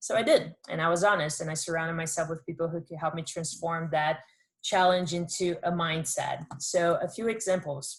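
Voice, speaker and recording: A woman speaks at a moderate pace in a somewhat breathy, fairly low voice with fairly even intonation. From Brazil. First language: Portuguese. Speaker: entrepreneur, former college athlete. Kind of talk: workshop talk.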